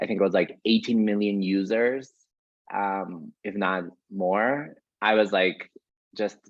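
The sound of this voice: This man's pitch is fairly low, with ordinary variation. He speaks at a slow pace.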